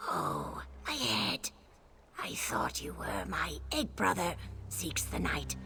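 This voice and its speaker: In a put-on character voice, a man speaks very deep and low at a very slow pace, with long, frequent pauses and clear background noise. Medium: video game. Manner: bitter, urgent.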